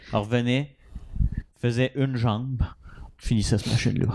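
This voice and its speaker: The man's voice has a medium pitch and a dark, mellow tone. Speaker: podcast co-host. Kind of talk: casual chat.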